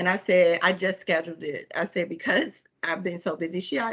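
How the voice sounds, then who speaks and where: A woman's fairly low pitch, fairly quick pace and fairly even intonation. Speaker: coaching client. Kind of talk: coaching session conversation. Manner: fast.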